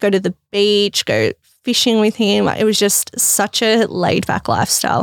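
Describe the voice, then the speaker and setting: A woman with an Australian accent at a medium pitch, moderate pace, very even loudness and fairly even intonation, in a dry, close sound with no echo. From Melbourne, Australia. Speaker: fashion business founder. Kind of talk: casual interview.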